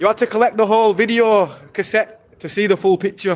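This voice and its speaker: A man speaks loudly with a British accent. His pace is moderate. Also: very clean recording, silent background. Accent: British accent, remarked on by viewer. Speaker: IRL streamer. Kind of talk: live stream walking commentary. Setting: outdoors, walking city streets.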